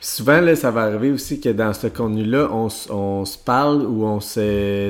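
A man with a Quebec accent speaks at a medium pitch. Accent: Québécois French. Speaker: podcast co-host, entrepreneur. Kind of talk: casual chat.

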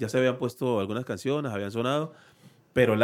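On a very clean recording with a silent background, a man has an ordinary speaking voice at a medium pitch with ordinary pitch variation. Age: 40s. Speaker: salsa musician. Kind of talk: casual interview chat. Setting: studio.

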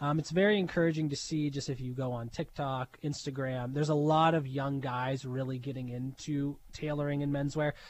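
In a very clean recording with a silent background, a man with an ordinary speaking voice talks at a fairly quick pace with hardly any pauses, his pitch fairly high and his intonation fairly even. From Pittsburgh, Pennsylvania. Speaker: tailor shop owner. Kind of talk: interview.

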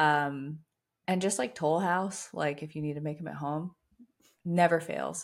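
This woman has a fairly low pitch, fairly even intonation and a plain, everyday voice, recorded very cleanly against a silent background. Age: 20s. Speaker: fitness and nutrition coach. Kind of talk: casual chat.

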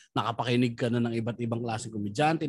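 The man speaks at a medium pitch. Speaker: stand-up comedian. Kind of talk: casual chat. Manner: animated.

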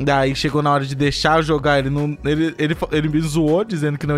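Over noticeable background noise, a man with a fairly high pitch speaks at a very fast pace in a monotone, flat intonation. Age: 30s. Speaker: podcast host. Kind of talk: casual chat.

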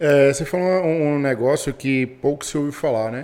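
Fairly high male voice, fairly slow pace, fairly even intonation. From Brazil, Bahia. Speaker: podcast co-host, entrepreneur. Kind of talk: podcast interview. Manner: casual, slangy.

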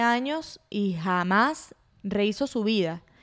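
In a Venezuelan accent, a woman speaks. Her pitch is fairly high. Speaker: podcast host. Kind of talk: solo casual monologue. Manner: animated.

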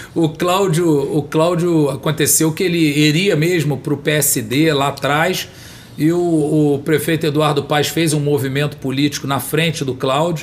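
Over noticeable background noise, a man with a fairly high voice talks at a fairly slow pace in a monotone, flat intonation with very even loudness. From Brazil, São Gonçalo (Rio de Janeiro state). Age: 50s. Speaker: politician. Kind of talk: interview. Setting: studio.

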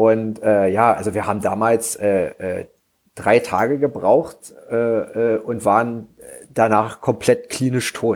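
A man talks very slowly with fairly even intonation at a medium pitch. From eastern Germany, Frankfurt (Oder). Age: 30s. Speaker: bikepacking cyclist. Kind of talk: casual chat.

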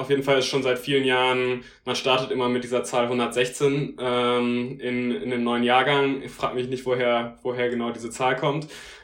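Heard with audible room echo, a man speaks at a medium pitch. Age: 20s. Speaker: law student. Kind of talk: casual interview. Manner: hesitant, many fillers.

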